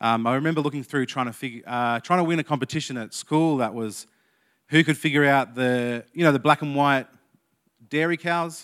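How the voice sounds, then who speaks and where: With an Australian accent, a man speaks at a moderate pace and a fairly high pitch with ordinary pitch variation, on a very clean recording with a silent background. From Australia, Canberra. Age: 30s. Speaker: youth leader giving a sermon. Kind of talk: sermon.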